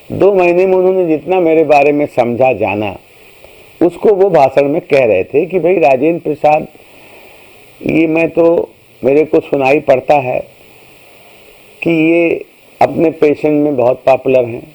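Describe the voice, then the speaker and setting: Speaking in a fairly high voice with ordinary pitch variation, a man leaves long, frequent pauses over noticeable background noise. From India, Uttar Pradesh (Basti district). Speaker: retired professor of pulmonary medicine. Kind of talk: life story told to camera.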